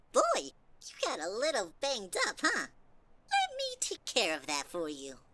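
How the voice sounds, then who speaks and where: A female-sounding voice puts on a character at a high pitch, moving at a moderate pace. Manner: crooning, falsely sweet.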